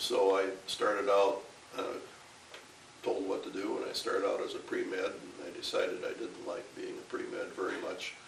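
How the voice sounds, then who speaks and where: With an Upper Midwest accent, a man talks at a moderate pace. Noticeable background noise and audible room echo are present. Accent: Upper Midwest American. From Minnesota, Ramsey County near Saint Paul. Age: 80s+. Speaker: retired professor. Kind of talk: interview. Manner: halting.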